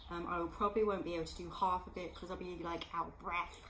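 A woman speaks over light background noise. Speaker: home fitness vlogger. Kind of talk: casual vlog chat. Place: home room. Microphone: phone near.

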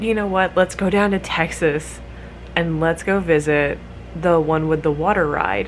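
A woman's fairly low-pitched voice with ordinary pitch variation and very even loudness, music in the background. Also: moderate pace. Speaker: vlogger. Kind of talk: casual vlog chat. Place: home room. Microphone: phone near.

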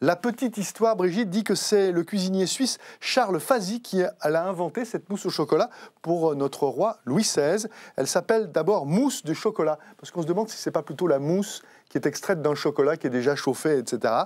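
In a very clean recording with a silent background, a man with a high-pitched voice talks at a fairly quick pace with lively intonation. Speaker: TV host. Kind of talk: interview chat.

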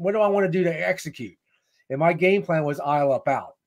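A man's very fast, high-pitched speech in an American accent. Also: quiet background. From US, small town. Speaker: leadership speaker and author; speaker. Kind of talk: interview, storytelling. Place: home room. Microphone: webcam.

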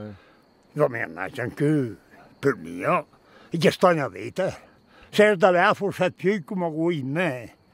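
A man with a Lombard accent speaks at a very slow pace in a fairly high pitch, with long, frequent pauses. His intonation is lively, his loudness swings widely, and the sound is dry with no echo. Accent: Brescian dialect. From Northern Italy, Brescia area. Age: old. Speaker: mountain farmer. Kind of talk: interview answer. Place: open country.

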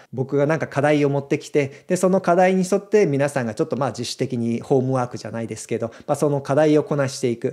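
Over a quiet background, a man talks at a very fast pace in a fairly high pitch, with ordinary pitch variation and a dark, mellow tone. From Japan. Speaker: video creator; video creator announcing a community. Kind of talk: casual announcement to viewers; casual explanatory talk to camera. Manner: conversational, frequent fillers. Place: home room. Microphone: studio mic.

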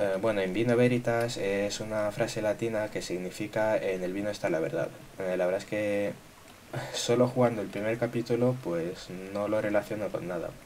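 With noticeable background noise behind him, a man speaks at a moderate pace, his fairly low voice keeping a fairly even intonation. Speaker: gaming youtuber. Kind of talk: gameplay commentary. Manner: casual, filler-heavy.

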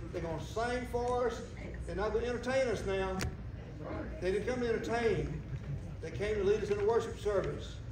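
Fairly quick speech from a man, audible room echo, noticeable background noise. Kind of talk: announcements to congregation. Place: church. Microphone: camera far.

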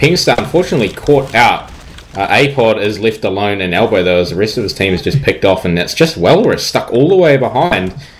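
Talking at a fairly quick pace, the man has a medium pitch and very wide pitch swings, with noticeable noise in the background. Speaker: esports caster. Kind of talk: live esports commentary. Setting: online stream broadcast. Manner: fast, animated play-by-play.

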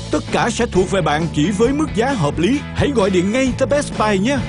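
With music in the background, a man speaks at a high pitch and a moderate pace, his intonation lively. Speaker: infomercial narrator. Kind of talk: TV commercial read. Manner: upbeat, persuasive.

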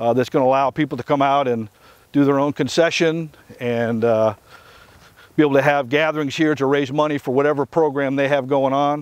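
The sound is dry with no echo as a man speaks at a fairly quick pace with very even loudness and fairly even intonation. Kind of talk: interview answer. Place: open country.

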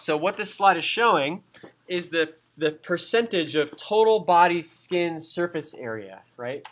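A man's high-pitched voice with an American accent, ordinary pitch variation and a fairly slow pace. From US, San Diego, California. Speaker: anatomy and physiology instructor. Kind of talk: lecture. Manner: casual, conversational.

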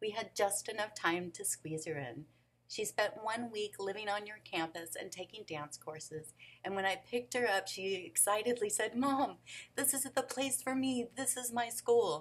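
A woman speaks at a moderate pace with an American accent. Her fairly high voice has lively intonation. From Phoenix, Arizona (US Southwest). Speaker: nonprofit founder. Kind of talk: pitch presentation. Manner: formal. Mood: earnest, emotional, warm. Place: office. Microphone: webcam.

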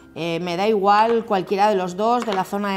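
A woman speaks at a medium pitch. Her pitch varies in an ordinary way.

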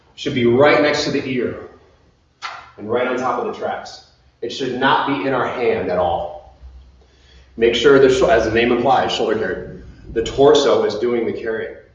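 With audible room echo, a man talks at a moderate pace and leaves long, frequent pauses. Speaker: fitness instructor. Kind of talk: workout instruction. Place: gym. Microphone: camera far.

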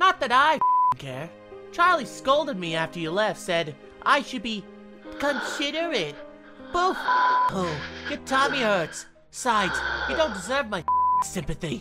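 A put-on character voice, bright and sharp in tone, with big pitch swings, a fairly slow pace and faint music in the background.

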